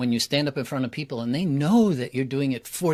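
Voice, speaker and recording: Against a silent background in a very clean recording, a man with an ordinary speaking voice talks in a fairly high pitch with lively intonation. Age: 60s. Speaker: public speaking coach. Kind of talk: interview conversation.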